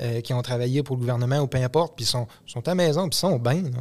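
A man's medium-pitched voice at a very fast pace. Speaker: podcast co-host, mechanic. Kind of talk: casual chat.

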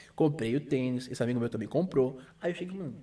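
The man has a dark, mellow tone. He talks at a fairly quick pace. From Brazil, Santos (São Paulo coast). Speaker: sneaker reseller, shop owner. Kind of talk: casual chat.

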